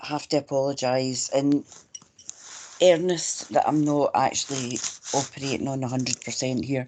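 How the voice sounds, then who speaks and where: A woman with a Scottish accent, her pitch very deep and low, at a fairly slow pace. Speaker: local councillor. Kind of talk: online meeting.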